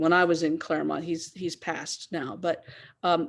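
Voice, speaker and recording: A woman speaks with a fairly low pitch and vocal fry. Her pace is moderate against a quiet background. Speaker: theology professor. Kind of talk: lecture.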